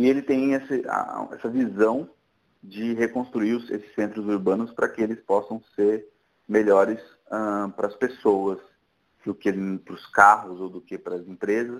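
Fairly low male voice at a fairly slow pace, with long, frequent pauses, big swings in loudness and fairly even intonation. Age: 30s. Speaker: tech entrepreneur. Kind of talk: casual interview.

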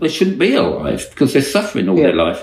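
This man's voice carries vocal fry and very wide pitch swings. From Australia. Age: 60s. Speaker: dog trainer and podcast co-host. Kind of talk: casual chat.

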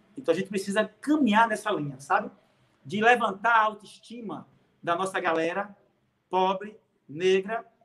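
A man's high, bright, sharp voice with ordinary pitch variation at a moderate pace. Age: 50s. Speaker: city councillor and political activist. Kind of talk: live-streamed interview.

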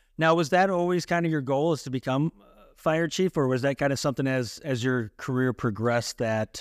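A man speaks in an ordinary speaking voice at a fairly quick pace, with ordinary pitch variation. The recording is very clean with a silent background and a dry, close sound with no echo. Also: hardly any pauses, big swings in loudness. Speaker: podcast co-host. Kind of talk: casual interview.

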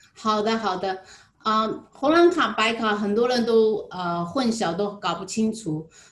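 There is noticeable background noise behind a woman with a fairly high pitch. She speaks at a fairly slow pace with lively intonation. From Zhejiang, China (Jinhua). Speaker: insurance agent. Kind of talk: interview. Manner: halting, many filler sounds.

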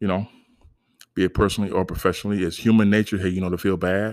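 A man's fairly low pitch and animated tone at a very fast pace, on a very clean recording with a silent background. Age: 50s. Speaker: motivational podcast host. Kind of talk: motivational monologue.

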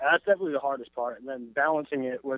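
The pace is very fast, in an American accent. Intonation stays fairly even. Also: man. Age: 20s. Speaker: pop-punk band member. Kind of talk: casual interview.

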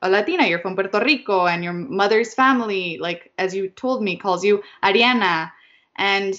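What this clip holds is plain reading aloud.

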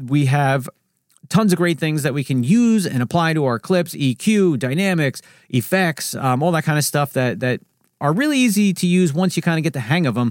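A man with a New Jersey accent and lively intonation, in a very clean recording with a silent background and a dry, close sound with no echo. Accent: New Jersey American English. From US Northeast, New Jersey. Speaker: video editing YouTuber. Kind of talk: solo Q&A podcast. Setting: home studio with microphone. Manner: fast talker; casual, chatty.

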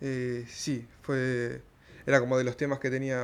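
The man's voice sits at a medium pitch, and the background stays quiet. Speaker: stand-up comedian. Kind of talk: casual interview. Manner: halting, with many fillers.

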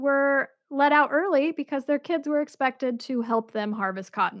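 Speaking at a fairly slow pace in a high voice, a woman uses an animated tone and ordinary pitch variation on a very clean recording with a silent background. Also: dry, close sound with no echo. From Utah. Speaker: podcast co-host. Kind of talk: casual chat with history storytelling. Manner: animated, laughs often.

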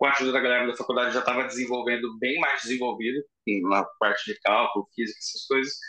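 A man at medium pitch rushes along at a very fast pace in a monotone with flat intonation. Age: 30s. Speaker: fire prevention engineer. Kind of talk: casual interview.

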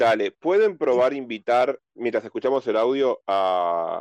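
This man has an unremarkable speaking voice at medium pitch, with lively intonation and a moderate pace. The sound is dry and close with no echo, over a quiet background. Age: 40s. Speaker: board game enthusiast. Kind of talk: casual chat.

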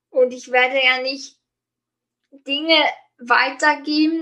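Very slowly paced, the speech keeps a fairly even intonation. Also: woman. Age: 30s. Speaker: life coach. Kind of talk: interview. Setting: online call.

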